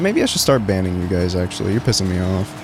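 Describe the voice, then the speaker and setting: The tone is animated and the pace very fast. Noticeable background noise runs under the speech. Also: man. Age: 20s. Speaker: streamer. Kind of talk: casual chat. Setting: livestream while playing a game.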